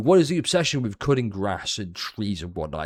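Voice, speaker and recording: A man talks at a moderate pace, his pitch swinging very widely. The recording is very clean, with a silent background. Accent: British. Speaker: gaming video creator. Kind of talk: casual commentary. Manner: sarcastic.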